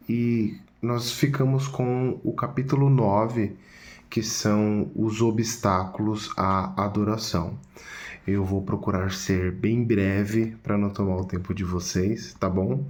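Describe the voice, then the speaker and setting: A soft-spoken man with a fairly low pitch, at a very slow pace amid audible room echo. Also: ordinary pitch variation. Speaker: church study group member presenting a chapter. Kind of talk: video presentation summarizing a book chapter. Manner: soft-spoken, speaking quietly.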